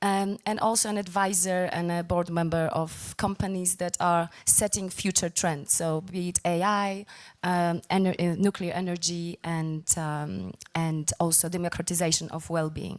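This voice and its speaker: With a Polish accent, the speaker talks at a moderate pace in a monotone, flat intonation on a very clean recording with a silent background. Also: woman, fairly low pitch for a woman. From Poland. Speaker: former banker and film producer. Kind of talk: panel discussion.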